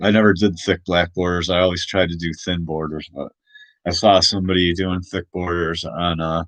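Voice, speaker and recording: A man's very deep, low voice, monotone and flat, at a moderate pace, dry with no echo over a quiet background. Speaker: comic artist streamer; small comic creator. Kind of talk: casual live stream chat. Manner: loud; halting, many fillers. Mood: thoughtful, a bit worried. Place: home room. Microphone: webcam.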